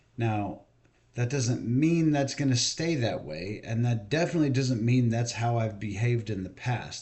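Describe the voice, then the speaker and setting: A somewhat breathy man's voice at medium pitch. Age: 40s. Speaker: video blogger. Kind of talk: monologue rant. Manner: casual.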